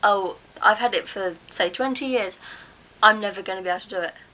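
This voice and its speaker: Bright and sharp in tone, this voice has an English accent and ordinary pitch variation. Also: woman. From England. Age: 20s. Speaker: mental health vlogger. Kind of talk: casual talk to camera.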